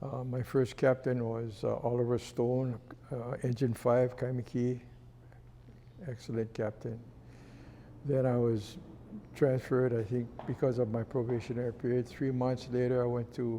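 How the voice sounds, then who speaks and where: Speaking in a Hawaiian accent, a man at medium pitch with a dark, mellow tone keeps a monotone, flat intonation at a moderate pace, broken by long, frequent pauses. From Hawaii, Honolulu. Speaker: retired fire chief. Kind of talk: interview storytelling. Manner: halting, with fillers.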